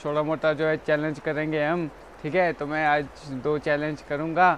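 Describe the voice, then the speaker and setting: A man at a fairly slow pace, dry sound with no echo, and light background noise. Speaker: small vlogger. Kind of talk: casual vlog chat. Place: home room. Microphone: lapel.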